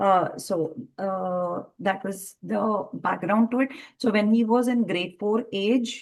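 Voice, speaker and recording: With a Telugu accent, a woman talks at a fairly slow pace with fairly even intonation and long, frequent pauses. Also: medium pitch for a woman. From India. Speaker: entrepreneur in early education. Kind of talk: interview. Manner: hesitant with many fillers.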